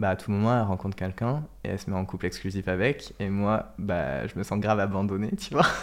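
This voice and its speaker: A man with an unremarkable speaking voice talks at a fairly quick pace with hardly any pauses and ordinary pitch variation. The recording is very clean, with a silent background. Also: fairly low pitch for a man. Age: 20s. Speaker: social media content creator. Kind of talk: casual interview chat.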